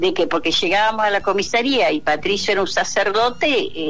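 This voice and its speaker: A woman speaks at a fairly quick pace while music plays in the background. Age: 60s. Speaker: popular educator, dictatorship torture survivor. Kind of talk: radio interview testimony. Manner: halting.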